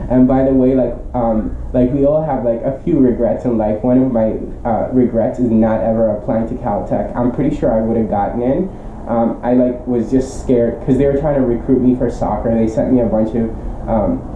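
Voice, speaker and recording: The speech moves at a moderate pace, with noticeable background noise in the recording. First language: not English. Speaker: teacher and tutor. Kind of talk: casual vlog monologue. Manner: halting, many fillers.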